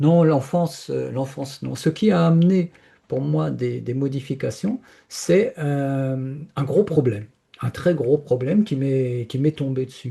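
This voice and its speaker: A man's somewhat breathy voice with a dark, mellow tone at a very slow pace. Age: 70s. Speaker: spiritual speaker sharing personal experience. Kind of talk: interview testimony. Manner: hesitant, many repetitions and fillers.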